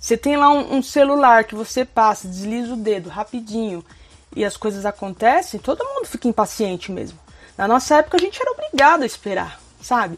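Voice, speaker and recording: With music in the background, a woman speaks at a fairly quick pace and a high pitch. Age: 30s. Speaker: YouTuber. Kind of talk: casual vlog monologue.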